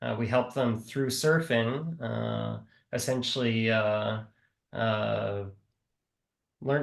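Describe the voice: A man's medium-pitched voice with vocal fry and a Midwestern American accent, in audible room echo.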